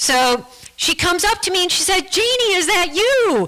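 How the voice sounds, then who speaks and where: A woman's raised, projected voice with an American accent, very wide pitch swings and a moderate pace over noticeable background noise. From United States. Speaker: guest speaker sharing her faith story. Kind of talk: testimony. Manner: halting, with many repeated words.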